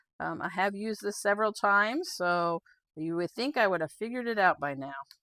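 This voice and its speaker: Lively intonation and a bright, sharp tone mark this woman's medium-pitched voice at a fairly quick pace. The sound is dry and close with no echo, on a very clean recording with a silent background. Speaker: quilting instructor. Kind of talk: tutorial. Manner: halting, with stutters and fillers; casual, conversational.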